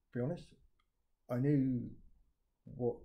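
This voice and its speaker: The man's tone is dark and mellow, a bit breathy. He keeps a moderate pace. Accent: southern English. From southern England. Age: 60s. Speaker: retired IT project manager. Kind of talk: video testimony. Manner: halting, many fillers. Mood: critical, earnest. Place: home room. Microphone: phone near.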